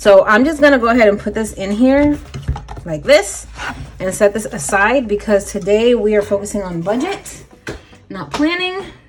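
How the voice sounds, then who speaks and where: A woman with a fairly high pitch speaks at a moderate pace with very wide pitch swings over noticeable background noise. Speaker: budgeting YouTuber. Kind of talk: casual tutorial vlog.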